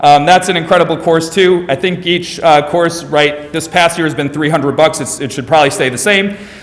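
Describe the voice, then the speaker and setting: A man speaks in a high voice over noticeable background noise. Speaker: school administrator presenting English department. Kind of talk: presentation to parents. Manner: fast.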